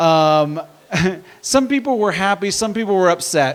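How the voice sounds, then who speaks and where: A man with an American accent speaks at a moderate pace and a high pitch. His intonation is lively, and noticeable background noise can be heard. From Indiana. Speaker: stand-up comedian. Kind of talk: stand-up. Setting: stage with audience.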